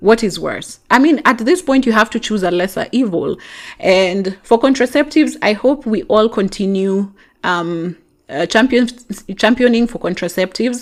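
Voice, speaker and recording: With a Kenyan accent, a woman speaks at a moderate pace and a fairly high pitch, her intonation lively. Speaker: podcast host. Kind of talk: podcast monologue reading and answering listener messages.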